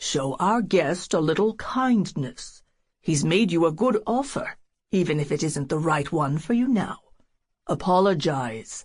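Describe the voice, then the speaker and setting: Against a quiet background, a woman puts on a booming character voice with a stern tone, fairly low pitch, very wide pitch swings and a fairly slow pace. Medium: read story. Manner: stern, clipped.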